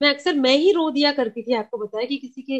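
A woman talks with lively intonation in a Sindhi accent. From Kolkata, West Bengal. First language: Sindhi (speaking Hindi). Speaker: community radio station head. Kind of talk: casual interview.

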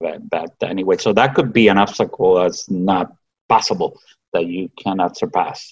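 This man has a Spanish accent. He talks at a moderate pace. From Cuba. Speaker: physician. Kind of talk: interview.

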